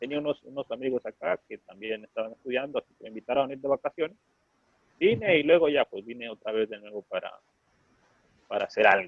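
Very fast and lively in intonation, a man at fairly high pitch speaks with long, frequent pauses and big swings in loudness. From Honduras. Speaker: startup co-founder. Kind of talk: interview. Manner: halting, frequent repetitions.

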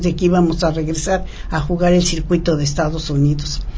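Noticeable background noise and audible room echo accompany a woman speaking at a moderate pace. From Mexico. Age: 80s+. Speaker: former professional tennis player. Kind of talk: interview. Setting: studio.

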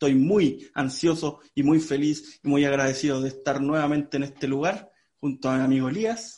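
A man with a Chilean accent, his pitch fairly high and his intonation fairly even. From Chile, Santiago area. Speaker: podcast host. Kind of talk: casual chat.

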